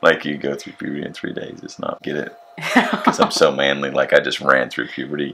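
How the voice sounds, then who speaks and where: A man talks at a fairly quick pace, his loudness swinging widely, with noticeable background noise. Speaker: family vlogger. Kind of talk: casual chat.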